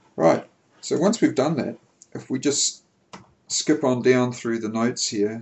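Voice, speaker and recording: A man speaks with ordinary pitch variation. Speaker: software developer giving tutorial. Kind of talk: screencast tutorial. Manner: slow; deliberate.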